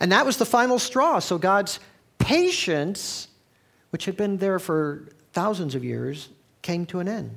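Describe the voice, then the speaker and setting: Speaking at a fairly slow pace, a man uses lively intonation. His pitch is high. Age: 60s. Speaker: pastor. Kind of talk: sermon. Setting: church.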